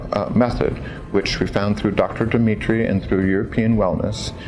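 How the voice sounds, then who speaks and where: An American accent with fairly even intonation, audible room echo and music in the background. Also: man. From California, US. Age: 60s. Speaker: patient giving testimonial. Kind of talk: testimony. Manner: hesitant, with frequent fillers.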